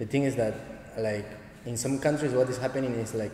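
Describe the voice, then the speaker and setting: Amid noticeable background noise and audible room echo, a man with a Spanish accent speaks with fairly even intonation. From Argentina, Santa Fe. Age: 20s. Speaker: dancehall dancer and teacher. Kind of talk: casual interview. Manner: halting, limited English.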